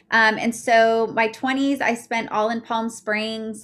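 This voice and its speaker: A woman speaks with an American accent at a fairly high pitch and with fairly even intonation. The recording is very clean, with a silent background. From Utah. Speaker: life coach. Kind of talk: casual interview. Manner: gets loud when passionate.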